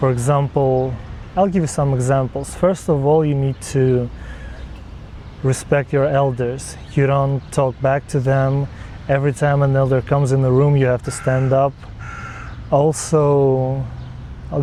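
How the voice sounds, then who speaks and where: Noticeable background noise sits behind a man with a fairly high pitch. He speaks at a moderate pace in a monotone, flat intonation with very even loudness. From Jordan. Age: 20s. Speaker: university student. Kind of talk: interview testimony.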